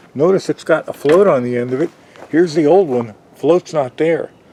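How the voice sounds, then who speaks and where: Over noticeable background noise, a man speaks at a moderate pace with ordinary pitch variation, the sound dry and close with no echo. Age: 60s. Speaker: DIY hobbyist vlogger. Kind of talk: tutorial. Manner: casual, hesitant with fillers.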